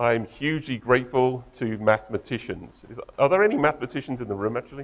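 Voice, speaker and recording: A man with an English accent. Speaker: tech company co-founder and engineer. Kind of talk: conference talk.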